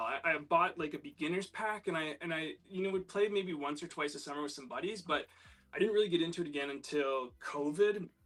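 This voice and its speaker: A man rattles along at a very fast pace. His fairly high pitch carries a Canadian accent. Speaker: disc golf player, guest. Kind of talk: casual chat.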